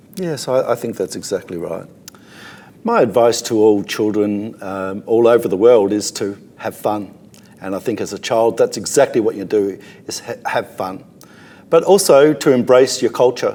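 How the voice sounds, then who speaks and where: A man's medium-pitched voice in an Australian accent. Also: ordinary pitch variation, moderate pace. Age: 60s. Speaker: boomerang thrower. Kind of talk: interview.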